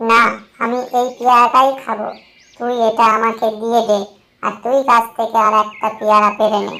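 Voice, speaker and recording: At a moderate pace, a cartoonish character voice sounds female, with a fairly high pitch. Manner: rude, scheming.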